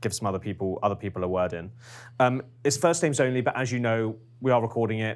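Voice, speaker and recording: On a very clean recording with a silent background, a man with a medium-pitched voice talks at a fairly quick pace. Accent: British. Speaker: focus group moderator. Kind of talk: focus group moderation. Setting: room with group, recorded. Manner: hesitant, many ums.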